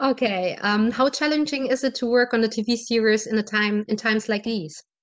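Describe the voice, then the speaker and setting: Speaking in a German accent, a woman with a fairly high voice keeps a moderate pace with ordinary pitch variation. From Germany. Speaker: podcast host. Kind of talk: interview.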